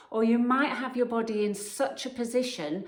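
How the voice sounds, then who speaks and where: Noticeable background noise runs behind a woman talking at a fairly slow pace. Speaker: personal trainer. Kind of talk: fitness advice talk to camera.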